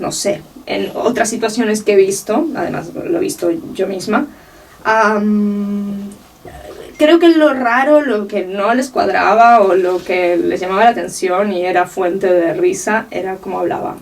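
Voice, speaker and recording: Noticeable background noise accompanies a woman at medium pitch. She talks fairly slowly with lively intonation. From Uruguay (Montevideo), moved to Catalonia as a teen. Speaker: art researcher and curator. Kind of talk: interview.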